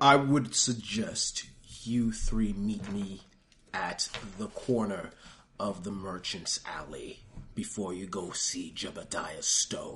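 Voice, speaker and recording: Here a man uses a put-on character voice. It sits at a medium pitch and moves at a fairly slow pace. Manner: eerie, possessed.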